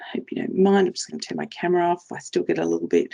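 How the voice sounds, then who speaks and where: A woman with an Australian accent. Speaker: trainer for frontline workers, former police officer. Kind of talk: presentation. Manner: fast.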